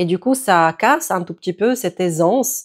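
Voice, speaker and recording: A woman's medium-pitched voice in a Czech accent, fairly slow with lively intonation, on a very clean recording with a silent background. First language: Czech (speaking French). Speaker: yoga teacher. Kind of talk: tutorial.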